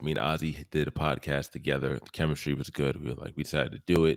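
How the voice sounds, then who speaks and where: Very fast and full of vocal fry, a man with a very deep, low pitch speaks in a dry, close sound with no echo on a very clean recording with a silent background. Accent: American. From US East Coast. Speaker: podcast host. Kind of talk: casual chat.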